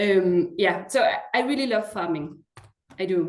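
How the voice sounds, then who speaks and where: The woman's pitch sits in the medium range. Her intonation is lively. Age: 40s. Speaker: school headmaster. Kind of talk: presentation. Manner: hesitant, many fillers.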